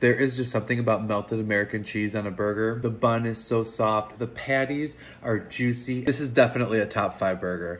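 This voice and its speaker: A man talks at a fairly quick pace with hardly any pauses and fairly even intonation. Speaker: food vlogger. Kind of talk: casual food review vlog. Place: home room. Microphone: phone near.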